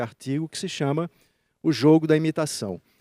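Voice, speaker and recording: Dark and mellow in tone, this voice goes at a fairly quick pace in a dry, close sound with no echo and a very clean, silent background. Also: man. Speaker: judge and conference speaker. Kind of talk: conference talk.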